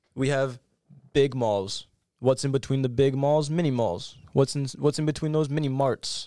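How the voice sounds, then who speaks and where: A man with an American accent and a plain, everyday voice talks at a moderate pace with a fairly high pitch and ordinary pitch variation, on a very clean recording with a silent background. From upstate New York. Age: young. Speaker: podcast guest. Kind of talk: casual chat.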